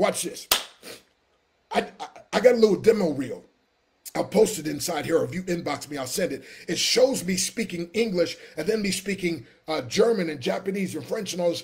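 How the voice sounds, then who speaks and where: Speaking at a moderate pace, a high-pitched man uses an animated tone and lively intonation. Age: 60s. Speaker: motivational speaker and business coach; motivational speaker, business coach. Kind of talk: live stream sales pitch. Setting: live video stream. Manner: animated, preacher-like. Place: home room. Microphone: webcam.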